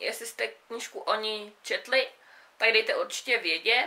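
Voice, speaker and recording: A woman speaks in a raised, projected voice with a bright, sharp tone. Her pace is fairly slow and her intonation lively. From South Bohemia, Czechia. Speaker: book vlogger. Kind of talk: casual book review monologue. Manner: casual, hesitant with fillers. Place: home room. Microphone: camera far.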